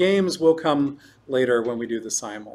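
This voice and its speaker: With ordinary pitch movement, this man's voice rides fairly high. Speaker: chess lecturer. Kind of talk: lecture. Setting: chess club room with live audience. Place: hall.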